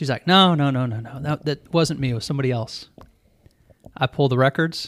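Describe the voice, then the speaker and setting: This man has an unremarkable speaking voice, fairly high in pitch, with ordinary pitch variation. He talks at a fairly quick pace in a dry, close sound with no echo. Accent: American. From Missouri (Ferguson, St. Louis area), then Atlanta suburbs from sixth grade. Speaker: mortgage loan officer. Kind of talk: casual chat.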